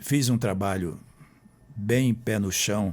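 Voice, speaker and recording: Speaking at a very slow pace, a man with a medium-pitched voice is heard on a very clean recording with a silent background. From Brazil, Roraima (Boa Vista). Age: 70s. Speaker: author and historian, former mayor. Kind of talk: interview. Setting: radio studio.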